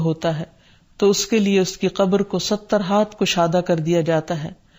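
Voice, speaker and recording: Fairly even intonation and a dark, mellow tone from a woman. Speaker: Islamic scholar. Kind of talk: religious lecture.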